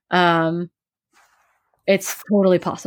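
In an American accent, a woman speaks at a medium pitch with fairly even intonation. The recording is very clean with a silent background, dry and close with no echo. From US Midwest, Wisconsin. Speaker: professional ultra runner and coach. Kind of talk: interview, casual chat.

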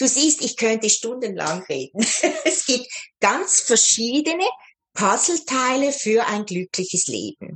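The voice moves at a very slow pace and is somewhat breathy. Its pitch swings are very wide. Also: woman. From Switzerland. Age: 60s. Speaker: life coach. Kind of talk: interview.

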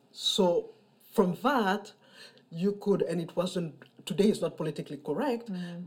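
A woman with a somewhat breathy, medium-pitched voice speaks at a moderate pace, using ordinary pitch variation and long, frequent pauses. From Mali. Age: 50s. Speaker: storyteller. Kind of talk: interview.

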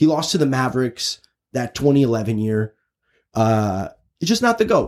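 A man with an American accent talks at a fairly slow pace and medium pitch in a plain, everyday voice with lively intonation. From Chicago, US Midwest. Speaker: sports podcast host. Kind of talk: casual sports chat. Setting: recording booth.

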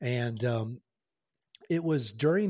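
A somewhat breathy man's voice in a dark, mellow tone, with an American accent, on a very clean recording with a silent background. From Oklahoma, US. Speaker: retired Marine helicopter pilot and executive coach. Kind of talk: interview conversation.

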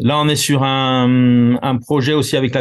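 A man talks in a Corsican accent. His intonation stays fairly even. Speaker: concert producer and elected representative. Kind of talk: interview. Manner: halting, many repetitions and fillers.

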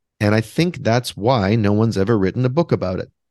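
A man with a Canadian accent and an ordinary speaking voice talks at a fairly quick pace, with a fairly low pitch and lively intonation. The sound is dry and close with no echo, over a quiet background. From Western Canada, Vancouver. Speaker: author and composer. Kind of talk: interview conversation.

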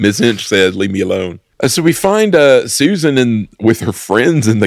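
This man has a plain, everyday voice with an American accent and lively intonation. The recording is very clean, with a silent background. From United States. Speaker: film podcast co-host. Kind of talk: casual chat.

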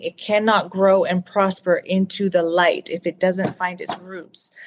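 Over a quiet background, a woman with an unremarkable speaking voice speaks at a medium pitch and a fairly slow pace. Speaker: author. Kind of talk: interview. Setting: video call.

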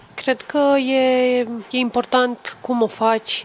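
A woman speaks at a high pitch. Noticeable background noise can be heard behind her. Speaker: poet. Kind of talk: casual chat. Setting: hotel lobby.

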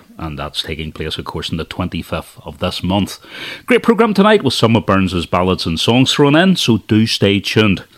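With a normal speaking voice, a man speaks at a moderate pace and a fairly low pitch, his intonation lively and his loudness swinging widely. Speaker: radio host. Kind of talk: radio dj patter, live presenter intro. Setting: radio studio. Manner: warm, upbeat, friendly.

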